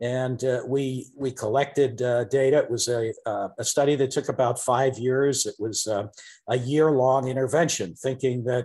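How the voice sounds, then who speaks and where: Against a quiet background, a man with a dark, mellow tone speaks with fairly even intonation. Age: 60s. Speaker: professor. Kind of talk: interview. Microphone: video call.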